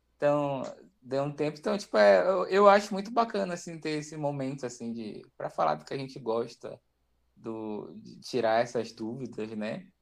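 An ordinary speaking voice from a man, with lively intonation, a moderate pace and a quiet background. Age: 20s. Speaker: gastronomy graduate, hospital cook. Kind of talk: casual chat.

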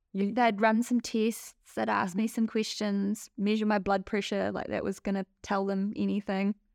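In a New Zealand accent, a woman talks fairly slowly at medium pitch with monotone, flat intonation, the sound dry and close with no echo on a very clean recording with a silent background. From New Zealand (Palmerston North). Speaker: migraine sufferer sharing her story. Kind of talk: interview, personal testimony.

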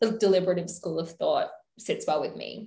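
Somewhat breathy, a woman with an Australian accent talks at a moderate pace amid audible room echo. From Adelaide, South Australia. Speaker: podcast co-host, law postgraduate student. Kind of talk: casual educational chat.

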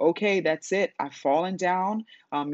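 A woman talks with an ordinary speaking voice at a fairly slow pace, her pitch varying in an ordinary way. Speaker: business coach and podcast host. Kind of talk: solo podcast talk. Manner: casual with many filler words.

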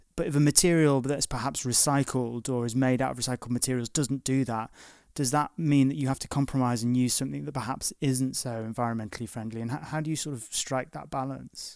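With a Liverpool accent, a man at medium pitch talks at a very fast pace with hardly any pauses and fairly even intonation, on a very clean recording with a silent background. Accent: Liverpool (Scouse). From northwest England, Liverpool. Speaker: podcast host. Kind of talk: interview. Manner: halting, repeats words.

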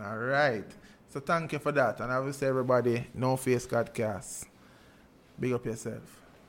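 On a very clean recording with a silent background, a man speaks with a Jamaican accent and fairly even intonation. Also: medium pitch for a man, moderate pace. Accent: Jamaican Patois. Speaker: podcast host. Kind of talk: casual interview.

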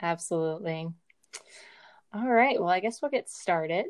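A woman with an American accent and an unremarkable speaking voice, fairly low-pitched, at a moderate pace. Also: quiet background. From Virginia. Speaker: medical student podcast host. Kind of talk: educational podcast chat. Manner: frequent filler words.

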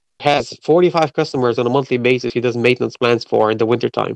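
The sound is dry and close with no echo as a man talks at a fairly quick pace with fairly even intonation. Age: 40s. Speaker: podcast host and mobile car detailer. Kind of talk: interview. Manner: halting.

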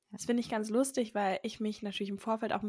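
A woman speaks in a normal speaking voice, fairly high in pitch with fairly even intonation. The recording is very clean, with a silent background. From Berlin. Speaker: podcast host, mother. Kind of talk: casual chat.

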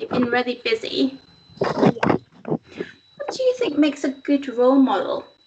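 A woman's warm tone at a moderate pace, with noticeable background noise. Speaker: interviewer. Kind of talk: casual interview. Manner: warm, encouraging.

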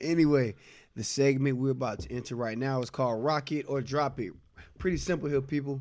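This man has an ordinary speaking voice, medium in pitch, with an American accent and ordinary pitch variation. He talks at a fairly quick pace on a very clean recording with a silent background. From US South, South Carolina (Nickeltown area). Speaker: podcast co-host, music reviewer. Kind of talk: casual chat.

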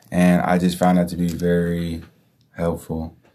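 With a Bay Area accent, a man speaks at a moderate pace in a very deep, low pitch, his intonation monotone and flat. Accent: Bay Area American. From Hayward, Bay Area. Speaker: mentee, aspiring entrepreneur. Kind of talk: interview.

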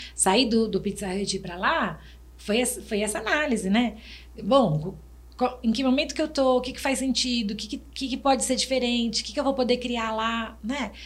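A woman talks at a moderate pace with vocal fry. Her pitch is fairly high, with ordinary variation. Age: 50s. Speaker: restaurant and HR manager, consultant. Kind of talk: casual chat.

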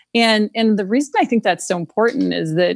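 Here is a woman with an ordinary speaking voice and an American accent. She talks at a moderate pace with lively intonation. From rural Minnesota, US Midwest. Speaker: venture capitalist. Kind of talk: interview.

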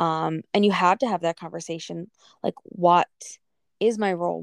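A woman with a normal speaking voice talks at a moderate pace in a fairly low pitch. Her intonation is fairly even, and the sound is dry and close with no echo. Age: 30s. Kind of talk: casual chat.

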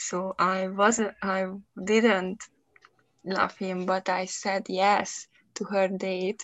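A woman speaks at a medium pitch with a Hungarian accent. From Hungary. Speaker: podcast host, English learner. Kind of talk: casual chat. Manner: halting, hesitant, laughs often.

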